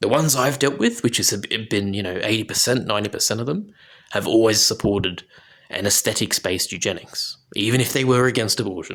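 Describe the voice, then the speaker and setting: A man mumbling at medium pitch. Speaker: political commentator. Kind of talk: video commentary monologue. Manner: slurring and mumbling; halting.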